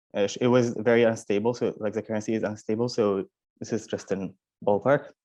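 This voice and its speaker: Speaking with a non-native accent, the voice has a dark, mellow tone and ordinary pitch variation. The pace is fairly quick against a quiet background. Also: man. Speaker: university student. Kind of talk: panel testimony.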